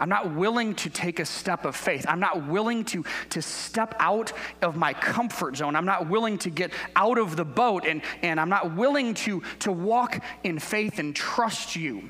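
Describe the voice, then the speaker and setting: A man at a high pitch and moderate pace, lively in intonation, with noticeable background noise. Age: 40s. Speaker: guest pastor. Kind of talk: sermon. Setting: church.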